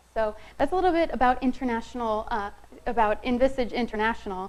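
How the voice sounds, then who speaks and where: A woman speaks with a fairly high pitch. Some room echo can be heard. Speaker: marketing specialist presenting a session. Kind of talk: conference presentation. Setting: room with live audience, no microphone. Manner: soft-spoken.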